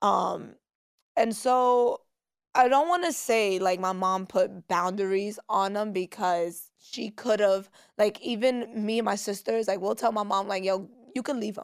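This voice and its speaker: In a New York accent, a woman of medium pitch speaks at a fairly slow pace with an animated tone. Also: ordinary pitch variation. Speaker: social media personality. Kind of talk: casual chat.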